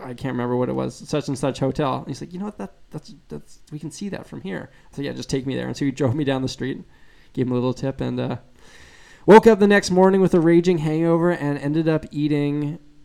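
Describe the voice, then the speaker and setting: A man with a slight Canadian accent talks at a very fast pace in a fairly high voice, with ordinary pitch variation and big swings in loudness. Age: 20s. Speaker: guitarist and YouTuber. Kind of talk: live stream Q&A chat. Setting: live stream. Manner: casual, relaxed.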